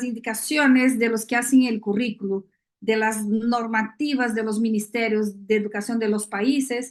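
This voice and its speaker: A woman is speaking. Her pace is fairly slow. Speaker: neuroscience education expert speaker. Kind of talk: lecture. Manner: many filler hesitations.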